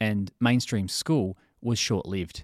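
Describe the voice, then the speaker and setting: With an Australian accent, a man speaks at a medium pitch in a dry, close sound with no echo, on a very clean recording with a silent background. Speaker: podcast host and therapist. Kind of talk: interview.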